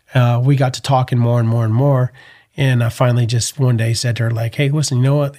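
Somewhat breathy and dark, mellow in tone, the voice speaks with an American accent at a fairly quick pace and with monotone, flat intonation. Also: man. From US Northeast, Connecticut. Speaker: entrepreneur and team roper. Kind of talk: casual interview chat.

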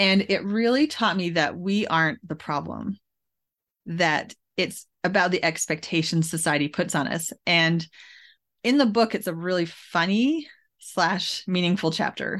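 Against a quiet background, a woman with an unremarkable speaking voice and a Canadian accent talks at a fairly slow pace, fairly low in pitch with ordinary pitch variation. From Canada (Alberta, Edmonton area). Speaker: author. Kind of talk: interview.

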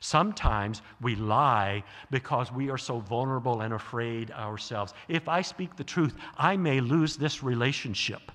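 A man has a plain, everyday voice with an American accent and medium pitch. He talks at a moderate pace with lively intonation. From US South. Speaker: guest preacher, theologian. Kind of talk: sermon.

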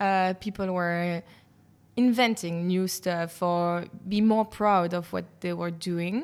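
Speaking with a Belgian French accent, a woman uses a fairly low pitch and fairly even intonation at a very slow pace. The recording is very clean with a silent background. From Brussels, Belgium. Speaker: journalist and podcast host. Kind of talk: casual interview chat. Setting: cheese bar. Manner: hesitant, many fillers.

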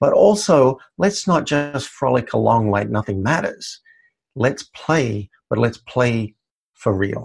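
Somewhat breathy and very slow, a man with an Australian accent speaks at a medium pitch with very wide pitch swings. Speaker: life coach. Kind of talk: interview.

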